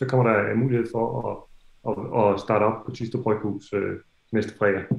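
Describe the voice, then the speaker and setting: Audible room echo surrounds a man speaking with a Danish accent against a quiet background. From Denmark. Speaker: festival organizer. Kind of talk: welcome address. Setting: video call. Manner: halting. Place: home room. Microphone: video call.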